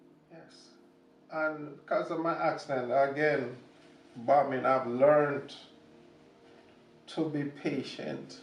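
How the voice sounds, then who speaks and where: Amid noticeable background noise and audible room echo, a man with a fairly high pitch talks at a very slow pace in a monotone, flat intonation, with long, frequent pauses and big swings in loudness. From Jamaica. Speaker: war veteran. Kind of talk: testimony.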